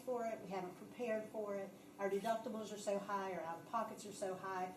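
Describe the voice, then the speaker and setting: Very fast speech comes from a woman at medium pitch with fairly even intonation. Noticeable background noise and audible room echo are present. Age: 50s. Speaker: benefits presenter. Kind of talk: presentation at council meeting. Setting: city council meeting.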